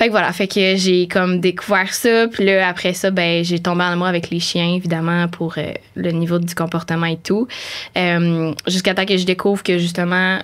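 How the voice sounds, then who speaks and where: The woman's voice sits fairly low. Her delivery is monotone and flat. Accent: Quebec. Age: 20s. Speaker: animal communicator. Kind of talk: podcast interview. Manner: hesitant, many fillers.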